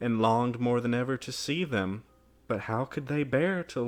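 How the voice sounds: The recording presents a natural reading voice.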